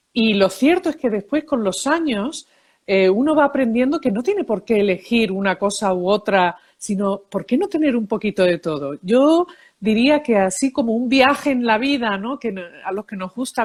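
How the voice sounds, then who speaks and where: On a very clean recording with a silent background, a woman talks at a moderate pace, her fairly high voice full of lively intonation. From Seville, Spain and New York. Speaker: psychologist, emotions expert and author. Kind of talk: interview.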